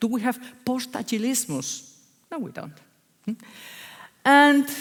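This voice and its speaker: Fairly slow speech with a Spanish accent. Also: woman, high pitch for a woman, ordinary pitch variation. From Spain, Basque Country. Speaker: agile consultant. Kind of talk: conference talk. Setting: stage with audience. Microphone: echo, hears herself twice.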